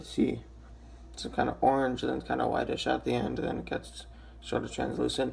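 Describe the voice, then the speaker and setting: A man uses a put-on, raspy character voice at a fairly quick pace. Clear background noise sits behind him. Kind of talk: casual product review.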